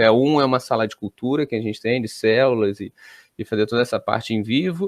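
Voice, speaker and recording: His pitch sits in the medium range and varies in an ordinary way. The man's pace is fairly quick. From Brazil. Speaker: college professor. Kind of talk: interview. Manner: hesitant, many fillers.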